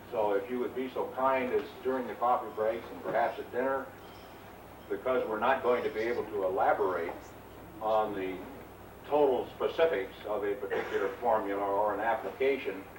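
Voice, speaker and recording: Over noticeable background noise and audible room echo, a man speaks at a fairly quick pace and medium pitch with ordinary pitch variation. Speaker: technical trainer. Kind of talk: lecture. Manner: loud.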